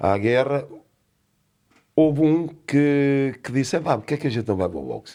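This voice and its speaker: Lively in intonation and dark, mellow in tone, a man speaks at a moderate pace in a very clean recording with a silent background. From Portugal, Lisbon. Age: 60s. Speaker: boxing coach, former boxer. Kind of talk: casual interview chat.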